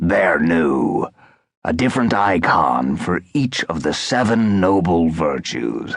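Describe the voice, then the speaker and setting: In a put-on character voice, a man speaks fairly slowly with a very deep, low pitch, very wide pitch swings and very even loudness. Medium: read story.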